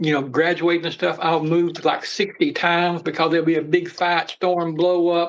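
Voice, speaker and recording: A high-pitched man with an American accent at a moderate pace. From Appalachia, US. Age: 60s. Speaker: snake keeper and mental health advocate. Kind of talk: casual chat.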